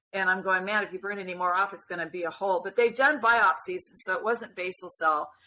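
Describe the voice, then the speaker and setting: Very fast and with hardly any pauses, a woman speaks in an animated tone at a medium pitch with ordinary pitch variation. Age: 60s. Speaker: skin cancer patient sharing her story. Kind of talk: casual interview chat.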